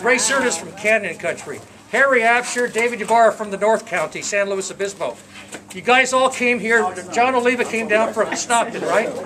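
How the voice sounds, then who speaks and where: A man projects a raised voice at a high pitch with fairly even intonation. Noticeable background noise runs behind him. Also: moderate pace. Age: 60s. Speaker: retiree giving a speech at his own party. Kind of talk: farewell speech to friends. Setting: party with live audience. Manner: halting, repeats words.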